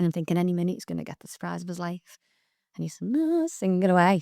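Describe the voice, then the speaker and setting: A woman speaks at a very fast pace with a Liverpool accent. The recording is very clean with a silent background and a dry, close sound with no echo. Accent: Scouse (Liverpool). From Liverpool, England. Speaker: performer and theatre school owner. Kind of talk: casual interview chat. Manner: animated storytelling.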